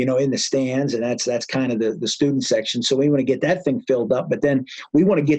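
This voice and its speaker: A man with an American accent, medium pitch, and a very fast pace. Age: 30s. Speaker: high school football coach. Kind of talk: interview.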